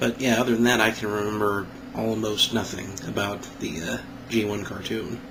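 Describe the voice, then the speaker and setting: A man speaks at a fairly low pitch with fairly even intonation over noticeable background noise. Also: moderate pace. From Kansas. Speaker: toy reviewer. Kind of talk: casual talk to camera. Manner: smug.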